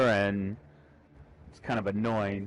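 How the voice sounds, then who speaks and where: Recorded with a dry, close sound and no echo, a man speaks at a moderate pace over noticeable background noise. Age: 30s. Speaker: gamer. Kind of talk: casual chat.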